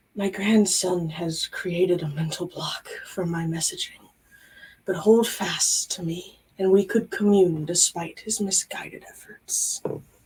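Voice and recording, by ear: Using a raspy, put-on character voice of medium pitch, a woman talks at a fairly slow pace with fairly even intonation.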